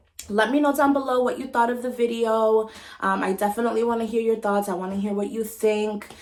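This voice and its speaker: A woman with a fairly high voice talks very fast in a fairly even intonation over noticeable background noise. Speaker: beauty and hair vlogger. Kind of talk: casual vlog talk to camera. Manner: chatty with many ums and likes.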